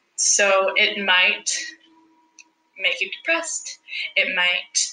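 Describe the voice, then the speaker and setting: A woman with a Spanish accent at medium pitch. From El Salvador. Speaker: sustainability specialist. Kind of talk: interview.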